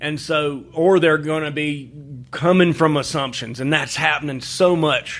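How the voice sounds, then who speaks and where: In a Southern US accent, a man speaks at a moderate pace with fairly even intonation. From Alabama. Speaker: journalist and writer. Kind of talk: interview answer.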